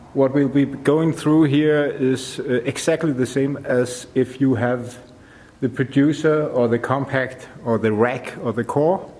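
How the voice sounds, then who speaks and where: At a very slow pace, a man with a Danish accent talks in a medium pitch with ordinary pitch variation. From Denmark. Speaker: audio tutorial maker. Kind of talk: tutorial. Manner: halting, many fillers.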